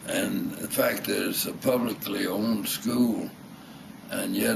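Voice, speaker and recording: A man with a Southern US accent talks at a fairly slow pace. Noticeable background noise and audible room echo are present. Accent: Southern American. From US South. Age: 80s+. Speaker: retired architect and war veteran. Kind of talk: reminiscence interview. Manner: halting.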